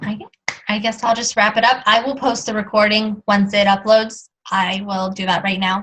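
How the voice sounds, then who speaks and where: A woman speaks in a monotone, flat intonation at a fairly high pitch. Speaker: fitness coach presenting tips. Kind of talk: team call wrap-up. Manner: fast.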